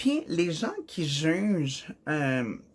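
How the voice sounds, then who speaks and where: This woman speaks with a Quebec accent. Her pitch sits fairly low. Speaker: vlogger. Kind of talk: personal vlog monologue. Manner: halting, with fillers.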